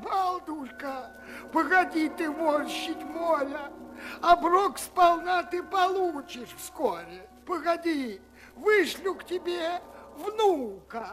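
Someone uses a put-on character voice at a fairly slow pace. Clear background noise is present. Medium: read story. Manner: gloomy, pleading.

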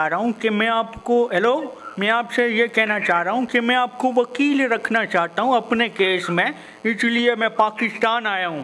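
A man speaks in a raised, projected voice with ordinary pitch variation. There is light background noise. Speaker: caller, YouTuber. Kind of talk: casual vlog intro and prank phone call. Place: home room.

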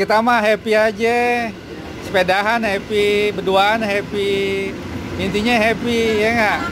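The pace is very slow. Noticeable background noise can be heard. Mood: cheerful joking. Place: street. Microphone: phone near.

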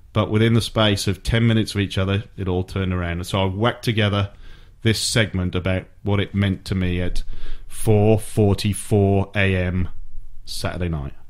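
With a Welsh accent, a man of fairly low pitch speaks at a moderate pace in a monotone, flat intonation. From Wales. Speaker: sports radio host. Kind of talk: casual chat.

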